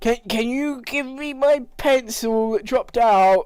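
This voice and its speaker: In a put-on character voice, the speaker sounds whiny, with fairly high pitch and a fairly slow pace. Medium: actual play. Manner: nervous, whiny.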